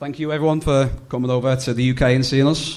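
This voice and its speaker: With a Liverpool accent, a medium-pitched man talks at a very fast pace amid audible room echo. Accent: Scouse (Liverpool). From England, Liverpool. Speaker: comedian. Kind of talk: stand-up. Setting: stage with audience.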